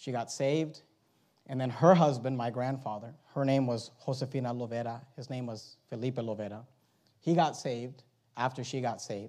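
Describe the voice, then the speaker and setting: With audible room echo, a man speaks in a dark, mellow tone at medium pitch, moderate pace and fairly even intonation. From born in Venezuela, raised in the US from age four. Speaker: pastor. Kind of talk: sermon. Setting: church.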